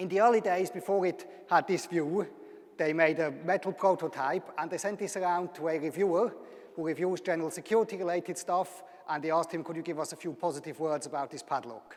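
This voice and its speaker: Fairly quick speech with a Swiss German accent over noticeable background noise. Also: man, high pitch for a man, fairly even intonation. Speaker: university lecturer. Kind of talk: public lecture.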